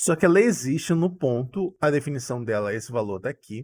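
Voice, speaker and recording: This is a man speaking. His pace is moderate. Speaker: math tutor. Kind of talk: live online class.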